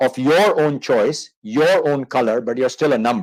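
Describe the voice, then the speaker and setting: A man with a South Asian accent speaks at a fairly high pitch with vocal fry. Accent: South Asian-sounding. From Manchester, England then Indian subcontinent. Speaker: marketing consultant. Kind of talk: interview on a live online show. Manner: conversational, with fillers.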